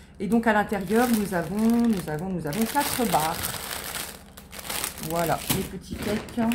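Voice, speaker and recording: Long, frequent pauses break up the speech, which has ordinary pitch variation, audible room echo and noticeable background noise. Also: woman, medium pitch for a woman, fairly slow pace. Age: 40s. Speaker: lifestyle vlogger. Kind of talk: product haul, casual. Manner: hesitant, filler-heavy.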